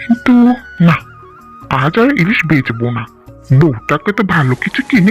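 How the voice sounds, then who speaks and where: Clear music plays behind a cartoonish character voice pitched in the middle range. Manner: warm, rustic.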